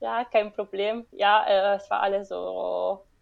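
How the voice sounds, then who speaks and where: A woman with an Italian accent at a very slow pace. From Italy, Rome area. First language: Italian (speaking German). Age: 20s. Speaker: marine biologist. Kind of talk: interview. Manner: halting.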